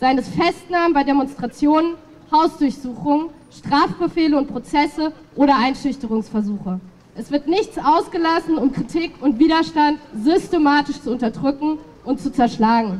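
Her pitch is high, with lively intonation. The woman keeps a moderate pace. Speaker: speaker. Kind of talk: political rally speech. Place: street.

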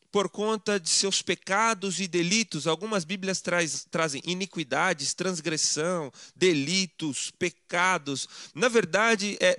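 A man raises and projects his high-pitched voice, its tone bright and sharp. He speaks very slowly over a quiet background. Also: dry sound with no echo. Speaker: preacher. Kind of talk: sermon. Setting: church. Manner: formal, didactic; emphatic, persuasive. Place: home room.

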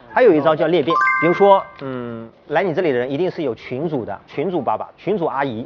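Loud music in the background plays as a man talks at a fairly quick pace. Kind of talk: persuasive explanation in a staged skit. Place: street.

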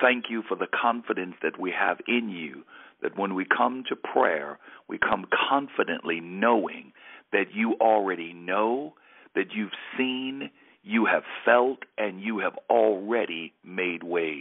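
With a normal speaking voice, a man talks fairly slowly at a fairly low pitch and ordinary pitch variation. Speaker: pastor. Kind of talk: prayer, devotional.

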